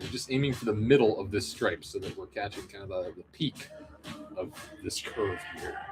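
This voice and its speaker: Mumbling, a man speaks with big swings in loudness over music in the background. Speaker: model kit painter streamer. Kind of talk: livestream painting tutorial. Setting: livestream. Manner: fast; rambling, mumbly.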